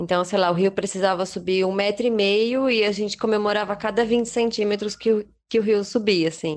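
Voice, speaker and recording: Speaking in a normal speaking voice, a woman at medium pitch keeps a fairly quick pace with hardly any pauses, very even loudness and fairly even intonation. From Brazil. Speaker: traveller and artisan. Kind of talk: casual interview.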